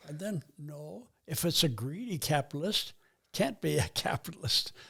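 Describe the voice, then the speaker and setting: A somewhat breathy man's voice with very wide pitch swings. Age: 80s+. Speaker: retired missionary. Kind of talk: interview answer.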